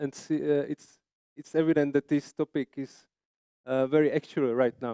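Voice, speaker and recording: A fairly high-pitched man with a Czech accent and a dark, mellow tone, at a moderate pace with fairly even intonation, in a dry, close sound with no echo. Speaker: landscape architect presenter. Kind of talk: conference presentation. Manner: halting.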